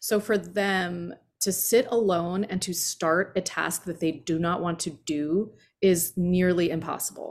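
With an American accent, a woman speaks in a plain, everyday voice at a fairly slow pace, with a fairly low pitch and fairly even intonation. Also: very clean recording, silent background. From eastern Pennsylvania (Allentown). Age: 50s. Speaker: yoga podcast host and former magazine editor. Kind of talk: casual chat.

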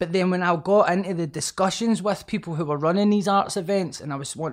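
With ordinary pitch variation, a high-pitched man talks at a moderate pace. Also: very clean recording, silent background. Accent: Scottish. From Scotland. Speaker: author and rapper. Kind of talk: casual interview chat.

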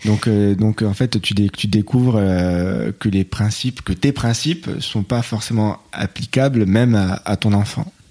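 A man with a dark, mellow tone speaks at a fairly slow pace, his fairly low pitch showing ordinary variation. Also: very even loudness, very clean recording, silent background. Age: 30s. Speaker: IT technical coordinator and father. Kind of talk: casual interview. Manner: hesitant.

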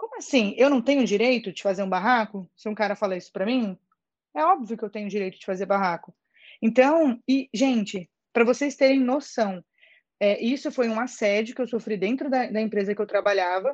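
A woman speaks at a fairly quick pace in a fairly high pitch with ordinary pitch variation against a quiet background. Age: 20s. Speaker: actress and social media creator. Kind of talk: casual chat. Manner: animated.

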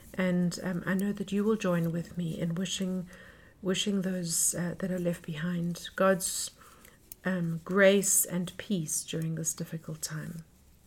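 This woman speaks fairly slowly in a fairly low, somewhat breathy voice with monotone, flat intonation. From South Africa. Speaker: podcast host. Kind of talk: podcast intro and interview. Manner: hesitant, filler-heavy.

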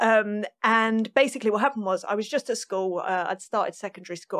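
Speaking at a fairly quick pace with a London accent, a woman uses a fairly high pitch and ordinary pitch variation, in a dry, close sound with no echo on a very clean recording with a silent background. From North London, England. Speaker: session and touring drummer. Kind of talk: interview conversation.

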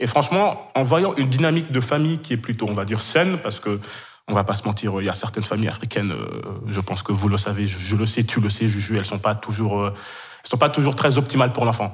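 A man's somewhat breathy voice at fairly low pitch, very fast, with ordinary pitch variation. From Kenya (Senegalese family, French school). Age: 20s. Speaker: podcast guest, web project graduate. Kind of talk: personal testimony in casual interview. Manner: halting, many fillers and repetitions.

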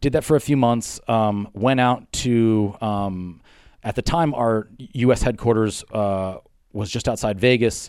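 A man with an American accent talks at a fairly slow pace in an ordinary speaking voice, medium in pitch with ordinary pitch variation. The recording is very clean, with a silent background. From Pennsylvania, Poconos. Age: 30s. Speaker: fitness gym owner and trainer. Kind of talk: casual interview. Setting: gym.

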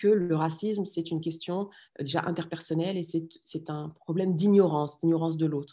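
Fairly low in pitch, a woman's voice carries a dark, mellow tone. She talks at a fairly quick pace with fairly even intonation. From France. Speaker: political scientist and parent activist. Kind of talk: interview conversation. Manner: halting, many hesitations and repeated words.

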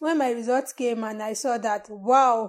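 A woman with a Nigerian accent speaks at a high pitch with ordinary pitch variation. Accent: Nigerian (Yoruba) English. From Nigeria (Yoruba, southwest). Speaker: parasitologist. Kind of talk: interview.

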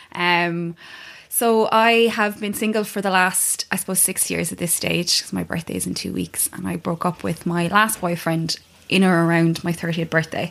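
With an Irish accent, a woman speaks at a moderate pace in a fairly low pitch and fairly even intonation. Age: 30s. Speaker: yoga teacher. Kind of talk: casual chat.

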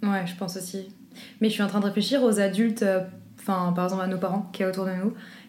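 A woman of medium pitch talks very fast yet with long, frequent pauses, somewhat breathy and monotone, with audible room echo. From Belgium, Brussels. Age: 20s. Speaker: law student. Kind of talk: casual chat.

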